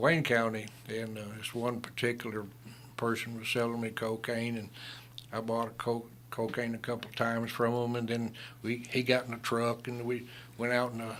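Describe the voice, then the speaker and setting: A man with a strong Southern US accent talks at a moderate pace in a medium-pitched voice with flat, monotone intonation. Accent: strong Southern American. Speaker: retired lawman and Vietnam veteran. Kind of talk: radio interview storytelling. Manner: halting, many fillers.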